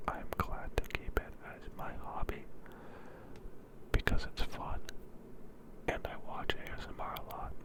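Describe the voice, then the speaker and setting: A whisper at a fairly slow pace, with noticeable background noise. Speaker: ASMR creator. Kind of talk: whispered ASMR ramble. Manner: whispered.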